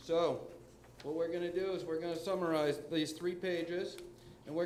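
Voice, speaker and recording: A man speaks loudly at a moderate pace, his high pitch in a monotone, flat intonation. Room echo is audible. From New Hampshire. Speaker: public commenter at school board meeting. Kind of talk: public comment. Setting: school board meeting room.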